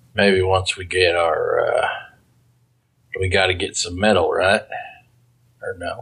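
Using a put-on character voice, a man speaks raspy and very deep at a fairly slow pace with long, frequent pauses. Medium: actual play. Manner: drawling, plainspoken.

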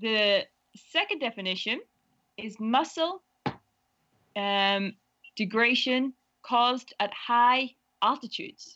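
Against a quiet background, a woman speaks with a high pitch and a bright, sharp tone. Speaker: game participant reading words.

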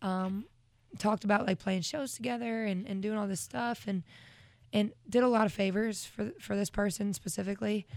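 Speaking at a moderate pace, a woman uses an unremarkable speaking voice. Her pitch is medium, with ordinary pitch variation. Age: 20s. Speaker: singer-songwriter. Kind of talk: casual chat. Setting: studio.

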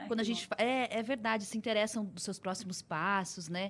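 Speaking at a fairly quick pace, a woman with a fairly high pitch sounds somewhat breathy. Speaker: radio host. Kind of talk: interview.

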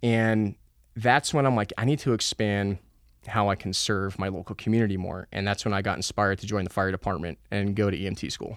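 At a fairly quick pace, a man with an American accent talks in an ordinary speaking voice, fairly low in pitch, on a very clean recording with a silent background. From New Jersey. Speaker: former military cadet and EMT. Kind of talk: interview storytelling.

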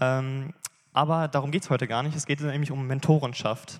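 On a very clean recording with a silent background, a man speaks in a fairly high pitch with fairly even intonation. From Bielefeld area, Germany. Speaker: church member giving testimony. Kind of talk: sermon testimony. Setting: church stage.

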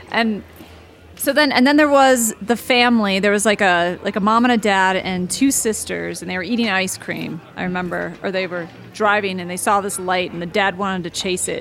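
A woman talks at a moderate pace in an ordinary speaking voice. Her pitch is medium, with ordinary pitch variation. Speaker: podcast host. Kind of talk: casual chat.

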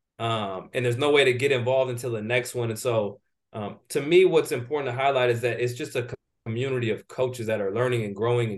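In a plain, everyday voice, a man speaks at a fairly quick pace with medium pitch and fairly even intonation. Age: 30s. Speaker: strength and conditioning coach. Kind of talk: interview.

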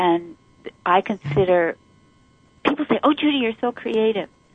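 A woman speaks at a moderate pace. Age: 60s. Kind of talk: casual interview chat.

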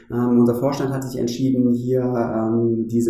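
Through noticeable background noise and audible room echo, a man speaks very slowly in a monotone, flat intonation. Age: 40s. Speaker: bank branch manager. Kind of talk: interview conversation. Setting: bank branch.

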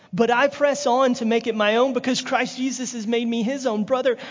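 A man speaks with a Southern US accent. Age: 30s. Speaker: evangelist. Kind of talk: sermon. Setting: church.

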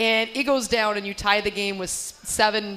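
A woman talks in a normal speaking voice at a moderate pace. Her pitch is fairly high. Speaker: radio broadcaster host. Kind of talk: live radio interview. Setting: live at restaurant.

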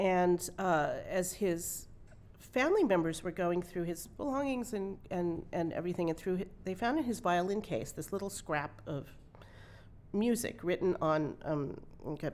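A woman talks at a moderate pace with lively intonation. Her pitch is fairly low. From California, Santa Monica. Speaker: concert violinist. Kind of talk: interview before a live audience. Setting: small hall with live audience.

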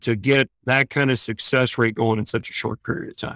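An unremarkable speaking voice with an American accent, fairly even intonation and a moderate pace, in a dry, close sound with no echo on a very clean recording with a silent background. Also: man. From US Midwest, St. Louis, Missouri. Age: 40s. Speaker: veterans equine therapy organizer. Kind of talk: interview, casual storytelling.

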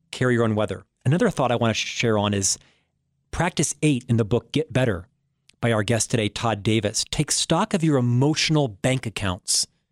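A man with an American accent and an ordinary speaking voice, at a medium pitch with ordinary pitch variation, a fairly quick pace and very even loudness, dry and close with no echo on a very clean recording with a silent background. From Florida, US. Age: 50s. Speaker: radio show host. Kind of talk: interview and monologue on leadership.

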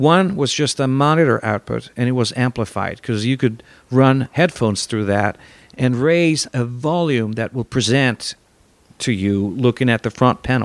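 A man's medium-pitched voice with an Italian accent, dry and close with no echo. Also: ordinary pitch variation, moderate pace, very clean recording, silent background. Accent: Italian-accented English, noticeable. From Italy. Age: 50s. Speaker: guitar gear maker and musician. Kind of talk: casual interview chat.

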